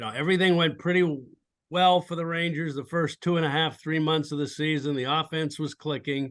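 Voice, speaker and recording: A man with an American accent speaks in a fairly high pitch. His pace is moderate and his pitch varies in an ordinary way. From New England, Massachusetts. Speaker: baseball team executive. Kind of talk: podcast interview. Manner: halting, many repeated words; energetic.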